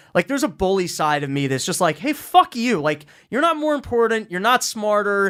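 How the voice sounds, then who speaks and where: Here a man speaks at a fairly quick pace. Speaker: podcast host. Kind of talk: casual chat. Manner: fast.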